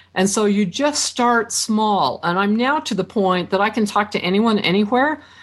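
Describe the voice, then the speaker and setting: An unremarkable speaking voice at a moderate pace. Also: woman. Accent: American. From Idaho, US. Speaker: author and networking expert. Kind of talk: interview.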